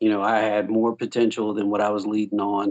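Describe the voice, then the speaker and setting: With a Southern US accent, a man talks at a moderate pace in a fairly low voice. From US South, South Carolina. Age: 30s. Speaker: Navy veteran. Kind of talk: casual chat. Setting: remote call.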